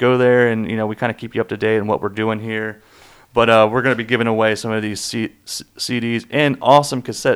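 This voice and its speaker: On a very clean recording with a silent background, a man with an American accent talks at a fairly quick pace in an unremarkable speaking voice of medium pitch. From US South, Charlotte, North Carolina. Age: 20s. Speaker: podcast host. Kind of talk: casual chat; trivia quiz hosting.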